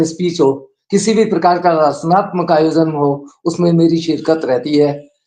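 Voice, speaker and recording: A man's fairly high-pitched, a normal speaking voice with fairly even intonation. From Rajasthan, Bikaner. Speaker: poet. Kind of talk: self-introduction.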